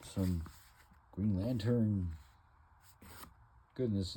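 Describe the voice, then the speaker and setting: A man speaks at a very slow pace with a very deep, low pitch in a dark, mellow, somewhat breathy tone. Audible room echo surrounds his voice. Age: 60s. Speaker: comic book collector vlogger. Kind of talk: casual monologue showing collection. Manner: halting, many fillers.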